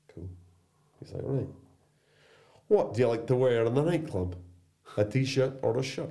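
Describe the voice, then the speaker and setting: A man's dark, mellow, somewhat breathy voice at medium pitch, lively in intonation, with audible room echo. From Ireland and England, mixed. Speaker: surf school owner, former social care worker. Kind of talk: casual chat over beers. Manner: animated.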